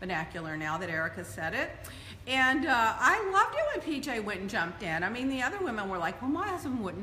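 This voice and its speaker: A woman's raised, projected voice at a fairly quick pace, with audible room echo and light background noise. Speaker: show host. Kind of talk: casual vlog chat. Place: home room.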